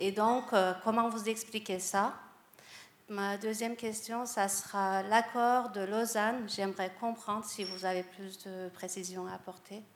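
Speaking at a very slow pace, a woman with a medium pitch keeps a monotone, flat intonation while her loudness swings widely. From France. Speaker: audience member. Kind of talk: audience question.

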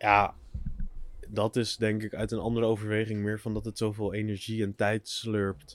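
Delivered at a moderate pace, the speech keeps a monotone, flat intonation. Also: man, fairly low pitch for a man. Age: 20s. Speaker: podcast co-host. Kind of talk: casual chat. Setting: outdoors.

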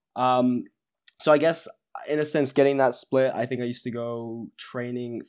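A man with a normal speaking voice at a medium pitch, recorded very cleanly against a silent background. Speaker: former sprinter, fitness guest. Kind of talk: casual interview chat.

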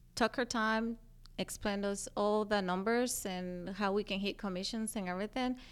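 With a Spanish accent, a woman speaks at a moderate pace and medium pitch. Her intonation is fairly even, and the recording is very clean with a silent background. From Guatemala. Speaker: hair salon manager and trainer. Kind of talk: interview. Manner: laughs often.

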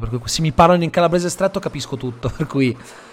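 The man's pitch varies by a normal amount as he speaks. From Italy (raised locally, Calabrian family from Lamezia Terme). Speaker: podcast host. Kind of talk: casual interview.

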